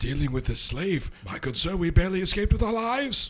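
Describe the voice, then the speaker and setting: Someone rattles along at a very fast pace in a put-on character voice. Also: man, high pitch for a man. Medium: actual play. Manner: flowery, smooth-talking.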